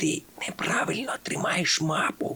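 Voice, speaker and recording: The speaker whispers in a put-on character voice. The pace is fairly slow. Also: man. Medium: read story.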